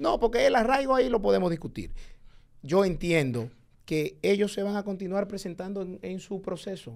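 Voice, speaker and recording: Over a quiet background, a man speaks at a moderate pace. His pitch is high and his intonation lively. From Dominican Republic. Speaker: public servant; guest. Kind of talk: heated debate. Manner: animated. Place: studio. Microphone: studio mic.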